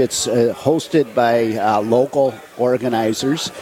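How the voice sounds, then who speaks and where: Behind this medium-pitched male voice, background noise is noticeable. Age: 70s. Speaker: charity volunteer leader. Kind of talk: radio interview. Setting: in person at a coffee shop, live radio broadcast.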